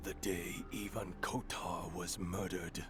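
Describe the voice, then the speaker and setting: Someone does a put-on character voice at a fairly slow pace. Loud background noise runs underneath. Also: man, very deep, low pitch for a man. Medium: video game. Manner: grim, fatalistic.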